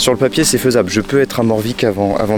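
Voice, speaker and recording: A man's fairly quick, fairly evenly intoned speech over background music. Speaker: hiker vlogger. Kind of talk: vlog to camera. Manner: halting.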